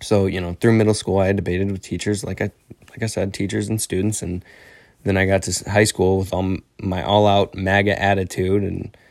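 In an American accent, a man speaks at a moderate pace with fairly low pitch and monotone, flat intonation. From Northern Illinois, US. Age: young. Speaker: podcast host. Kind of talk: solo podcast monologue. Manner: halting, many fillers and repetitions.

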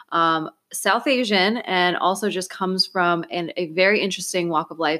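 Moderately paced female speech with ordinary pitch variation. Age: 30s. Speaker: podcast host. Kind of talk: casual interview.

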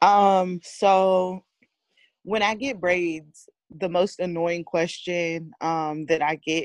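A woman with a fairly low pitch speaks at a very slow pace, the sound dry and close with no echo. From US West Coast, San Francisco Bay Area. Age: 30s. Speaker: hair braider. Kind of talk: casual chat.

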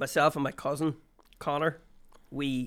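A man speaks with a Northern Irish accent at a fairly high pitch. His pace is moderate and his intonation fairly even. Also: very clean recording, silent background. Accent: Northern Irish (Armagh). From Northern Ireland, County Armagh. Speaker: comedian. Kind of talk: casual chat.

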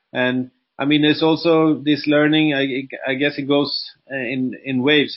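A fairly high-pitched man with a Swedish accent and monotone, flat intonation. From Sweden. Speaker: entrepreneur and coach. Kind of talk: interview. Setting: video call.

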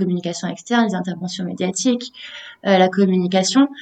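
This woman has a plain, everyday voice at medium pitch. Her intonation is fairly even. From southeastern France, Menton area. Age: 20s. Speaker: communications freelancer. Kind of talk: casual interview.

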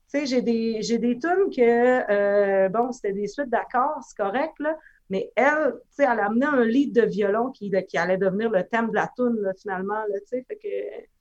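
An ordinary speaking voice from a woman, fairly high in pitch, at a moderate pace with hardly any pauses and big swings in loudness. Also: ordinary pitch variation. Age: 30s. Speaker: musician. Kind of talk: casual chat.

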